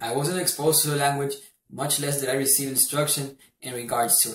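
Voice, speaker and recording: Somewhat breathy and fairly high in pitch, a man speaks at a fairly quick pace with fairly even intonation. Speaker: university student. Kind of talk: class presentation. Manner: formal.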